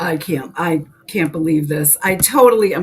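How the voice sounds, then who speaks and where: Noticeable background noise sits behind a woman with a New England accent. Her pitch is fairly low and her pace is moderate. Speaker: co-host, spiritual content creator. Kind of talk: casual chat. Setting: live stream.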